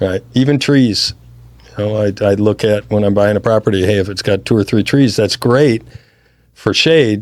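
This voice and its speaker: A man with an American accent uses a normal speaking voice at a fairly low pitch, speaking at a moderate pace with ordinary pitch variation. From US Midwest, Chicago suburbs. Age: 60s. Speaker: real estate investor. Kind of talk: interview. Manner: casual, conversational.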